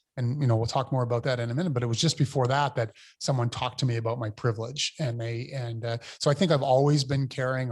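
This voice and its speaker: A man with a medium pitch and somewhat breathy voice speaks with fairly even intonation in a very clean recording with a silent background. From New Brunswick, Canada (Fredericton). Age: 50s. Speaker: mayor. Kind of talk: interview. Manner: halting, many fillers and repetitions.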